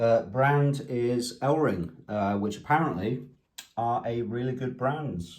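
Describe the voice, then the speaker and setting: Somewhat breathy, a man with a medium pitch talks at a very slow pace with ordinary pitch variation and audible room echo. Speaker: amateur DIY car mechanic vlogger. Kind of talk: casual vlog narration. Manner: soft-spoken, talking quietly; casual, hesitant with fillers.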